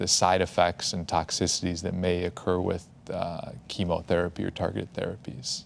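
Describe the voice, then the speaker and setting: A man speaks at a fairly slow pace. His voice is very deep and low. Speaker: medical oncologist; panelist. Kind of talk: expert explanation on a panel. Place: studio. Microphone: lapel.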